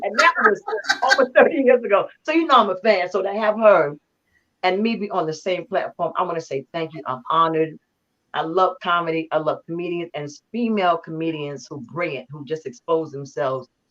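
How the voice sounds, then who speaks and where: A woman with an ordinary speaking voice talks at a fairly low pitch, her loudness swinging widely. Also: lively intonation, fairly quick pace. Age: 60s. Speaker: singer and guest co-host. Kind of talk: casual chat.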